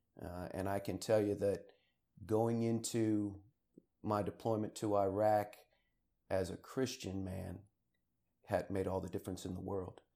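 On a very clean recording with a silent background, a man speaks at a fairly slow pace in a fairly low pitch, his tone dark and mellow and his intonation monotone and flat, with long, frequent pauses. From Maryland, near Washington D.C. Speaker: retired army officer and college cadet trainer. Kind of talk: interview. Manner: hesitant, many fillers.

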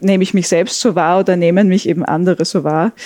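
A woman's medium-pitched voice, dark and mellow in tone, at a moderate pace with ordinary pitch variation. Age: 30s. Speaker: sociologist. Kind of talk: conversational interview.

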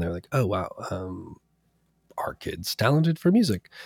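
On a very clean recording with a silent background, a man speaks at a medium pitch. He has an American accent, and the sound is dry and close with no echo. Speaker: electronic music producer. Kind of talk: interview.

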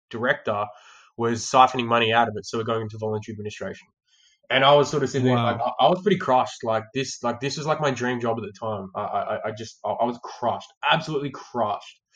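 With an Australian accent, a man talks very fast at a medium pitch with ordinary pitch variation. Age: 20s. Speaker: sales trainer. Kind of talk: casual chat. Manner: halting, with frequent repeated words.

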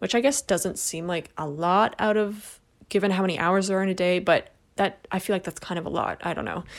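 A woman's medium-pitched voice, a normal speaking voice, fairly quick, with ordinary pitch variation on a very clean recording with a silent background. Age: 30s. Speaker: solo podcast host. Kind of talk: casual monologue. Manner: casual, filler-heavy.

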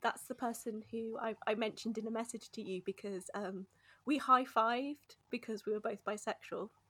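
A woman talks with a fairly high pitch and ordinary pitch variation. Her pace is moderate, an ordinary speaking voice. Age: 30s. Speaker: podcast guest. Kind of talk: casual chat.

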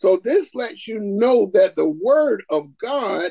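A man speaks very slowly with a Southern US accent. The sound is dry and close, without echo. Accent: Southern American. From US South, Augusta, Georgia. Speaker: preacher and Bible instructor. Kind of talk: interview and scripture teaching.

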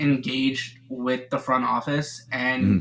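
Speech at a moderate pace, with noticeable background noise throughout. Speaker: caller, football fan. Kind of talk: casual chat.

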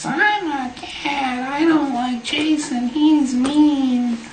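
A high, put-on character voice at a very slow pace, with slight echo and clear background noise

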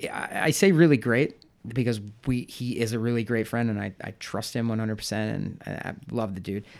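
In an American accent, a normal speaking voice moves at a fairly quick pace with ordinary pitch variation. The recording is very clean with a silent background. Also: man, medium pitch for a man. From US Midwest, St. Louis. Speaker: home brewer. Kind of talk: casual chat. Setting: home office.

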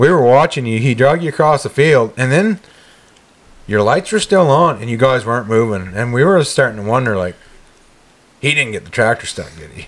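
A plain, everyday voice, this man talks fairly quickly at a medium pitch with lively intonation and big swings in loudness. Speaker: podcast host. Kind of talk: casual chat. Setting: recording hunting podcast with friends. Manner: joking, banter.

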